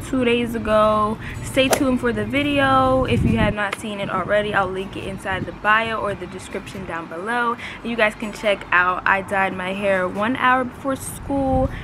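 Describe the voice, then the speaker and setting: A woman speaks at a moderate pace with hardly any pauses over noticeable background noise. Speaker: beauty vlogger. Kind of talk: casual product review chat. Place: garden. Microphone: phone near.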